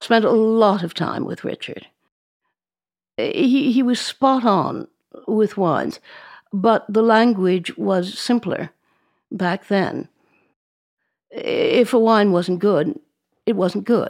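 A woman with an American accent speaks at a very slow pace and fairly high pitch, with ordinary pitch variation and long, frequent pauses, in a very clean recording with a silent background. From New York City, Upper East Side. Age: 80s+. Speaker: wine merchant. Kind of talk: interview.

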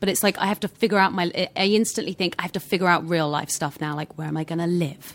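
In a British accent, the speaker talks at a very fast pace with fairly even intonation on a very clean recording with a silent background. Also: woman, fairly low pitch for a woman. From southern England. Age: 20s. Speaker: actress. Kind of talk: casual chat.

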